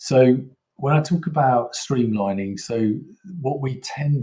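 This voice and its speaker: A man speaks in a British accent. His voice is somewhat breathy, with a dark, mellow tone. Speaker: software vendor presenter. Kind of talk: product presentation. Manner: halting, many fillers.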